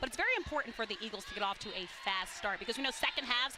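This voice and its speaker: A woman at a very fast pace, fairly high-pitched with lively intonation, over noticeable background noise. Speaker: college basketball color analyst. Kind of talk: sports broadcast color commentary. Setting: arena broadcast booth.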